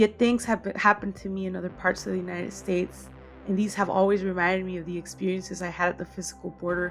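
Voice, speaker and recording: The speech runs at a very fast pace with music in the background. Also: woman. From Tijuana / San Ysidro border region. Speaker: media studies commentator. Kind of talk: personal essay read aloud.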